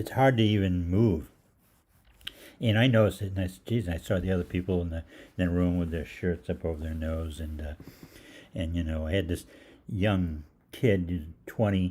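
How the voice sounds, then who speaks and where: With a very deep, low pitch and a dark, mellow tone, a somewhat breathy man speaks at a moderate pace with ordinary pitch variation and long, frequent pauses. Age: 60s. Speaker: holistic practitioner hosting live Q&A. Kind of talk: casual storytelling on livestream. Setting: live online show. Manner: halting, many fillers.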